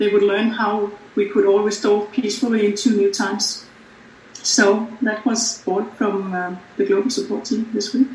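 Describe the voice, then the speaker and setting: This man has a high pitch and fairly even intonation. He talks at a moderate pace over noticeable background noise. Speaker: team representative giving a weekly update.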